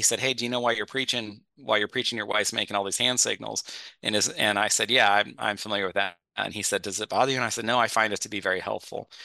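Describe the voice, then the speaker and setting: A man talks at a very fast pace with hardly any pauses and fairly even intonation. His tone is bright and sharp against a quiet background. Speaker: pastor and author. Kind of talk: casual chat.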